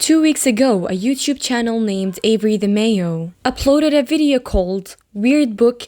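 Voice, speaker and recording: A woman with an unremarkable speaking voice talks at a fairly slow pace and a fairly high pitch. Her intonation is lively, and the recording is very clean, with a silent background. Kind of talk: horror story narration.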